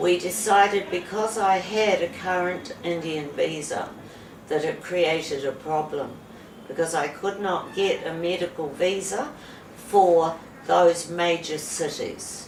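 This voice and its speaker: With noticeable background noise and audible room echo, a woman with a fairly low pitch speaks fairly slowly in a New Zealand accent. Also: ordinary pitch variation. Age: 70s. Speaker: patient. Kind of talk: testimony. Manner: halting.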